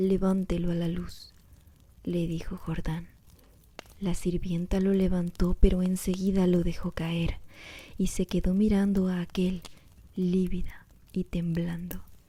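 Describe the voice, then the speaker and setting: Soft-spoken and somewhat breathy, a woman talks at a medium pitch in a dark, mellow tone, her monotone, flat intonation broken by long, frequent pauses. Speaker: ASMR creator. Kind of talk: reading aloud. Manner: slow.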